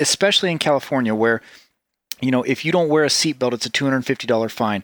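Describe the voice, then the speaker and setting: With lively intonation, a normal speaking voice comes through on a very clean recording with a silent background and a dry, close sound with no echo. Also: man. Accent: American. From US South, Tennessee. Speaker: podcast host. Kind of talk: casual conversation. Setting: office in a villa.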